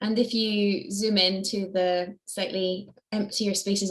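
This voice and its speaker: Speaking with a slight Scottish accent, a woman keeps a monotone, flat intonation. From Scotland. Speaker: charity staff member. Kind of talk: online Q&A. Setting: video call.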